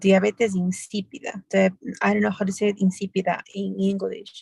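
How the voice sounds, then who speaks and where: Someone with a Spanish accent speaks at a moderate pace in a dry, close sound with no echo. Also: woman. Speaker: medical student or doctor in English class. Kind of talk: language class practice. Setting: in a car. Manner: halting.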